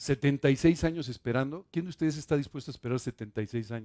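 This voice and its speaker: A man talks at a fairly high pitch with a dark, mellow tone and lively intonation. The sound is dry and close, with no echo. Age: 60s. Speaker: pastor. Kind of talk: sermon.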